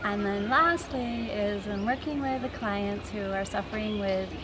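Noticeable background noise runs under the recording. A woman speaks at a fairly slow pace. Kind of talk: congratulatory address to camera. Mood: warm, grateful. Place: garden.

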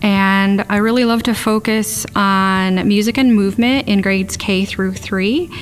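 Faint music can be heard in the background. The pitch of the voice varies in an ordinary way. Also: woman. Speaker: music teacher. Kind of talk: interview answer. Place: classroom.

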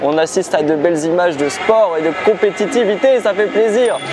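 Clear music plays in the background while a man talks at a moderate pace in a high voice. His loudness is very even, his pitch variation is ordinary, and the sound is dry with no echo. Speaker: travel vlogger. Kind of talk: casual vlog chat. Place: stadium. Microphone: lapel.

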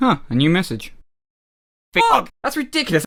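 A put-on character voice at a middle pitch, with very wide pitch swings. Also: moderate pace. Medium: comedy sketch.

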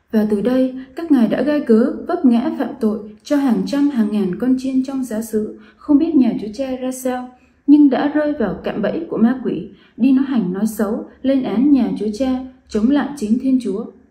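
Against a quiet background with audible room echo, a woman with a high pitch talks at a fairly slow pace with ordinary pitch variation. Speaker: presenter. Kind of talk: scripted testimony address. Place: home room. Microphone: phone near.

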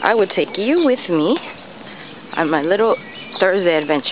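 A woman with an American accent speaks at a fairly slow pace with lively intonation, her dry voice carrying no echo over noticeable background noise. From New York City. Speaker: vlogger. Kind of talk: casual vlog. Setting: outdoors. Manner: halting. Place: street. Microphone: phone near.

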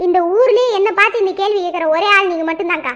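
A woman puts on a cartoonish character voice at an extremely high pitch. She talks at a fairly quick pace. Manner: boastful, teasing.

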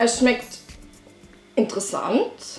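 Music plays in the background. A woman with an Upper Austrian accent speaks at a very slow pace. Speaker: vegan lifestyle vlogger. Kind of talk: casual vlog talk to camera.

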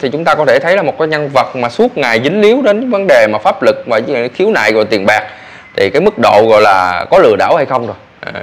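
A fairly quick pace from a man. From Vietnam. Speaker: vlogger news commentator. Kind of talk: news commentary monologue. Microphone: lapel.

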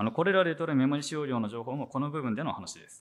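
The man talks at a very fast pace. The background is quiet. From Japan, Sendai (Miyagi); Miyagi, Japan. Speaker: software engineer, conference speaker; conference presenter. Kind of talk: conference talk; technical conference talk. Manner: hesitant, many fillers. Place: hall. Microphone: handheld.

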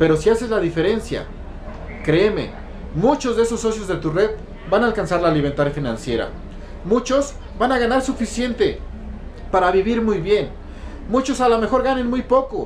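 Lively intonation runs through speech broken by long, frequent pauses. Light background noise sits underneath. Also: man, high pitch for a man, moderate pace. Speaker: network marketing distributor and motivational speaker. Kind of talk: motivational monologue. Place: home room. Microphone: phone near.

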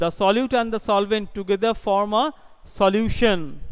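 Against a quiet background, a man with an Indian accent speaks at a fairly slow pace, his high pitch carrying ordinary pitch variation. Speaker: school teacher. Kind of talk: tutorial. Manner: halting. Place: classroom. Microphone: headset.

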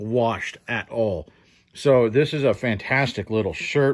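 A man talks very slowly over a quiet background. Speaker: thrift reseller. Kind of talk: casual haul vlog commentary. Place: home room. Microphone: phone near.

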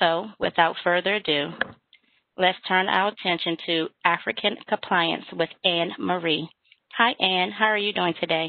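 A woman with a normal speaking voice talks at a fairly slow pace, her pitch fairly low with ordinary variation, in a dry recording with no echo and a quiet background. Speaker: webinar moderator. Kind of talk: webinar hosting. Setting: video call. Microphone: video call.

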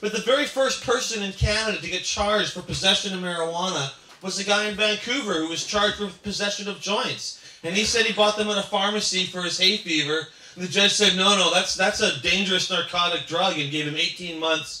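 A man talks in a raised, projected voice at a fairly quick pace with ordinary pitch variation. Audible room echo surrounds the speech. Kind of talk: speech with anecdotes. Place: cafe.

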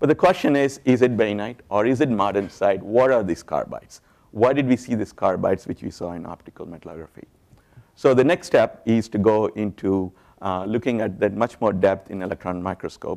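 A normal speaking voice from a man, fairly low in pitch, with ordinary pitch variation and a fairly quick pace, against a quiet background. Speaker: conference lecturer. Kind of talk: lecture. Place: hall. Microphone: lapel.

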